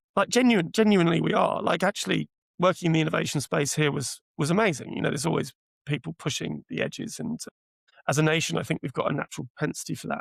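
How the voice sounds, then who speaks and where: Speaking very fast in a British accent, a man uses a fairly high pitch and lively intonation with vocal fry. The sound is dry and close, with no echo. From UK. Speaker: AI product executive. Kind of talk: podcast interview.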